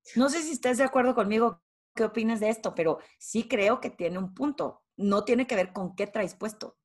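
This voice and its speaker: A woman's fairly high voice in a northern Mexican accent, with ordinary pitch variation at a moderate pace, on a very clean recording with a silent background. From Torreón, northern Mexico. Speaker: executive presence and leadership consultant. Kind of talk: interview.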